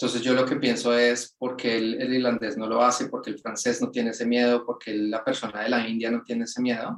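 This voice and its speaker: A man speaks at a fairly quick pace with a Latin American accent. His pitch is medium and his intonation is flat and monotone. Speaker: project manager. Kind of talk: webinar interview.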